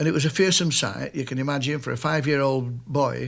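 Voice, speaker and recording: On a very clean recording with a silent background, a man speaks with a Lancashire accent at a moderate pace. His pitch is fairly high, with ordinary variation. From northern England, Nelson, Lancashire. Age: 60s. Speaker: retiring mill worker. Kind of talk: interview reminiscence. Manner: halting.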